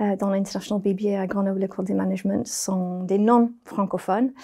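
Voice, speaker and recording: With a British accent, a woman speaks at a medium pitch in a dark, mellow tone. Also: very clean recording, silent background. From Britain. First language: English (speaking French). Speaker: business school program director. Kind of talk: interview. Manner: hesitant with fillers.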